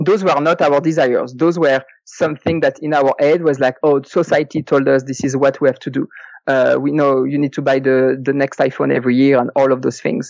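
A man speaks fairly quickly with a French accent. His pitch is fairly high and his intonation fairly even. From France. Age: 30s. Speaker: early retiree, full-time traveler. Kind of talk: interview. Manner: halting, many fillers.

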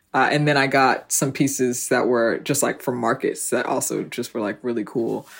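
The very clean recording, with a silent background, captures a woman with a very deep, low pitch talking at a very fast pace. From New Jersey, South Orange. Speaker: fashion e-commerce founder and CEO. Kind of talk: interview.

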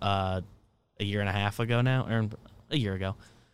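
A very clean recording with a silent background captures a man speaking in a monotone, flat way. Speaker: podcast co-host. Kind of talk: casual chat.

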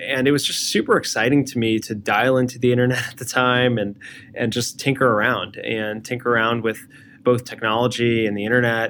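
A man with an American accent speaks at a fairly quick pace. His medium-pitched voice stays monotone and flat. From New Jersey, US. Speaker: design leader, former engineer. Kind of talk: interview.

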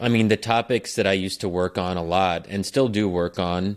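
At a moderate pace, a man speaks in an ordinary speaking voice, fairly low in pitch with fairly even intonation, on a very clean recording with a silent background. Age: 30s. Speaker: political scientist. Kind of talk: casual chat.

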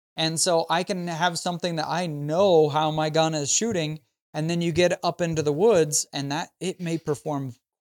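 A man with an American accent and an unremarkable speaking voice, fairly high in pitch, at a moderate pace with fairly even intonation, in a dry, close sound with no echo. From Idaho. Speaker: gun YouTuber and hunter. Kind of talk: casual interview chat.

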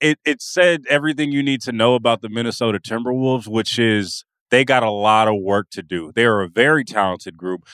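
A man speaks in an ordinary speaking voice with an American accent, at medium pitch and with ordinary pitch variation. He moves at a fairly quick pace with hardly any pauses. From California. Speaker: sports writer and podcast co-host. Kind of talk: casual chat.

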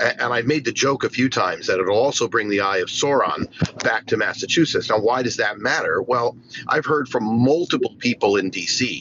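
A man talks at a moderate pace with very even loudness over noticeable background noise. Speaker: crypto panelist. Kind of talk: panel discussion. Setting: in a car.

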